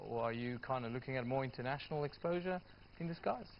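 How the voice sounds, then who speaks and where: A man with a South African accent, medium pitch and ordinary pitch variation. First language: Afrikaans. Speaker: TV news presenter. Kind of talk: TV news interview. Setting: TV studio.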